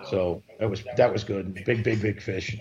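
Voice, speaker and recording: Fairly low-pitched man with a New York accent, fairly even intonation, and noticeable background noise. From New York, Queens (Broad Channel). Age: 50s. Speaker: commercial tuna fisherman. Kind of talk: casual interview.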